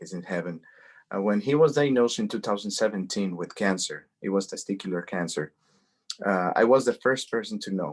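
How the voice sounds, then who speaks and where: A man speaks with a Spanish accent at a fairly low pitch, with ordinary pitch variation. The recording is very clean, with a silent background. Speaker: cancer advocate. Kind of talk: interview, personal testimony. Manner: halting, many repetitions.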